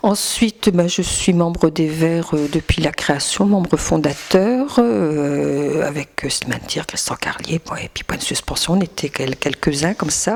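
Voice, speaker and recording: A woman with a fairly low pitch and lively intonation, fairly slow yet with hardly any pauses, over noticeable background noise. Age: 60s. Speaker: politician and schoolteacher. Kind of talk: campaign interview. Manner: halting, many hesitations.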